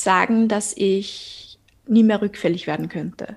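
Somewhat breathy and fairly high, a woman's voice moves at a very slow pace with ordinary pitch variation. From Austria. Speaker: podcaster, eating disorder survivor. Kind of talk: interview guest, personal testimony.

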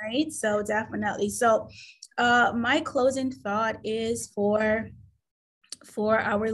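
A woman speaks very slowly in a fairly high, somewhat breathy voice with fairly even intonation. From Caribbean. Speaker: admissions director. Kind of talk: interview. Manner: halting.

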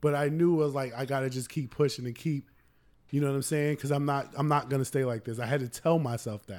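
A man's fairly high voice at a very fast pace, fairly even in intonation, on a very clean recording with a silent background. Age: 30s. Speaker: podcast co-host. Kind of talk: casual chat.

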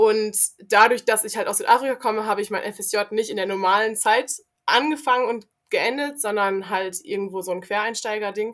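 The recording is very clean, with a silent background. A woman with an unremarkable speaking voice, fairly high in pitch, talks at a moderate pace with ordinary pitch variation. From South Africa. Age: young. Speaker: volunteer youth worker. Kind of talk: casual chat.

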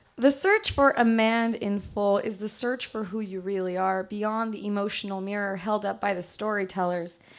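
In an unremarkable speaking voice, a woman at medium pitch keeps a moderate pace with hardly any pauses and fairly even intonation, in a very clean recording with a silent background. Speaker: poet; teacher and poet. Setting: stage with audience in a bar.

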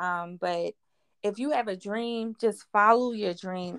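A woman with a Philadelphia accent is heard in a very clean recording with a silent background and a dry, close sound with no echo. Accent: Philadelphia American English. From West Philadelphia. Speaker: clothing brand owner. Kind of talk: interview.

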